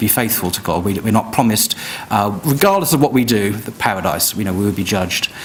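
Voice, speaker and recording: Over noticeable background noise, a man talks at a fairly quick pace in a fairly low voice. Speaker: debater. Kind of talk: formal debate rebuttal. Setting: live event with audience. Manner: soft-spoken; quiet. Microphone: too quiet for the back of the room.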